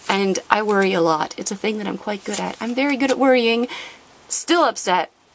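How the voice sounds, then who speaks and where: With lively intonation and a fairly quick delivery, a woman talks over noticeable background noise. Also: fairly high pitch for a woman. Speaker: trading card unboxing youtuber. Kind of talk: casual chat. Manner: fast; animated.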